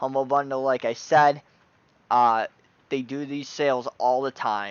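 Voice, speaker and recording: This is a plain, everyday voice. It keeps a moderate pace. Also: man. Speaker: tabletop gaming YouTuber. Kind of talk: product review. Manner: casual, filler-heavy.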